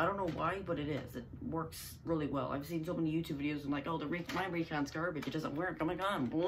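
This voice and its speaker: Speech runs at a very fast pace with hardly any pauses. Noticeable background noise can be heard. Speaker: YouTuber reviewing toy blasters. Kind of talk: casual product review. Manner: casual, animated.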